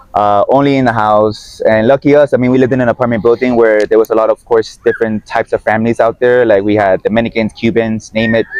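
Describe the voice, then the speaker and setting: Noticeable background noise sits under a dry, close sound with no echo. The man talks very fast at a medium pitch, in a monotone, flat intonation with very even loudness. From Miami, Florida (Guatemalan family). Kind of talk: casual chat. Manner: casual, with false starts.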